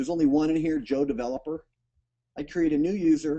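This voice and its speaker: With a dark, mellow tone and lively intonation, a man speaks at a fairly high pitch. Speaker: software platform founder answering user questions. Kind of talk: webinar Q&A with screen demo. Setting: online webinar broadcast. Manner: casual, filler-heavy.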